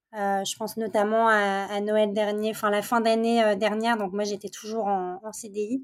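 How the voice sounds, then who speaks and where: On a very clean recording with a silent background, a woman speaks at a fairly slow pace with hardly any pauses, in a fairly high, monotone, flat voice. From France, Paris region, with teen years in Montreal. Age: 30s. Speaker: candle brand founder. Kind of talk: interview. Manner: hesitant, many fillers.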